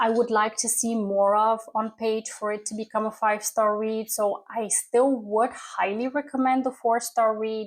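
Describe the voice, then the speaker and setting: The speaker has a non-native accent and fairly even intonation on a very clean recording with a silent background. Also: woman. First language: not English. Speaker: book youtuber. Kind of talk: casual chat.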